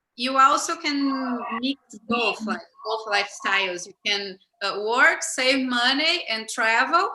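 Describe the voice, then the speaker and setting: Speaking very slowly, a woman uses a high pitch and a Portuguese accent. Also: lively intonation. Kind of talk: casual talk on a livestream.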